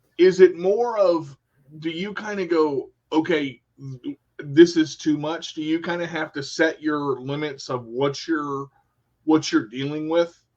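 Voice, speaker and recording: A man with an unremarkable speaking voice speaks at a fairly slow pace. His loudness swings widely while his pitch varies in an ordinary way. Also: fairly high pitch for a man. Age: 40s. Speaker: radio show host. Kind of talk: casual interview. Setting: live video stream.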